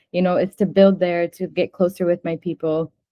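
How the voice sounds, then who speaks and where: A woman with an American accent speaks at a fairly quick pace. She has an unremarkable speaking voice, pitched fairly low. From United States. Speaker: fashion designer, brand co-founder. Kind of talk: interview.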